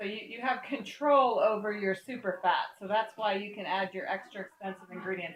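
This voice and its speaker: Talking at a fairly quick pace with hardly any pauses, a woman with an unremarkable speaking voice holds a medium pitch, shows ordinary pitch variation, and swings widely in loudness. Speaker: soap making teacher. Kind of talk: tutorial. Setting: in a home kitchen.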